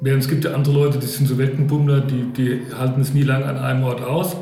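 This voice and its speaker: Through audible room echo and noticeable background noise, a man speaks at a moderate pace and a fairly high pitch. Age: 50s. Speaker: parish volunteer. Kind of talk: casual discussion.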